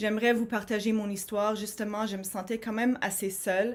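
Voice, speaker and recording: A woman speaks with an English accent in a flat monotone. The recording is very clean, with a silent background. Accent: English-speaker accent in French. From Montreal, Quebec (anglophone). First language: English (speaking French). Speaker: HR professional and conference speaker. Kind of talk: conference talk. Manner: hesitant, many fillers and repetitions.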